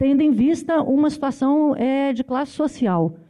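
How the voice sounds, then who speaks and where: A woman is speaking. Her pace is fairly slow. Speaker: university professor. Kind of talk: panel debate.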